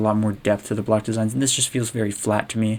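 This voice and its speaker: This man speaks very fast. His pitch sits in the middle range. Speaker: game level designer. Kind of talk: tutorial. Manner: halting, trips over words.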